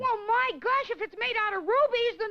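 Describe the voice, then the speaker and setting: An extremely high-pitched cartoonish character voice talks at a moderate pace. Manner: eager, bright.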